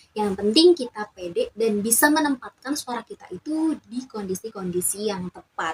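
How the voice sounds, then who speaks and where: With hardly any pauses, a woman talks at a moderate pace in a fairly high pitch, showing very wide pitch swings and big swings in loudness, in a dry, close sound with no echo. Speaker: YouTuber, communication student. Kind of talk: casual vlog talk.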